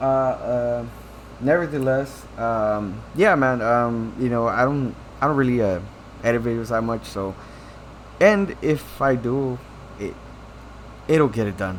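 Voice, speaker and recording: Ordinary pitch variation in a man's medium voice, fairly slow in pace, amid audible room echo. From Mexico. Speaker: tech YouTuber. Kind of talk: casual unedited vlog rant. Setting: home, recording to webcam. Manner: halting, many fillers and repeats.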